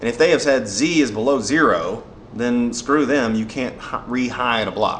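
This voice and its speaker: There is noticeable background noise and audible room echo. The pace is moderate. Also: man. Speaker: software developer. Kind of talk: tutorial. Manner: casual, with fillers.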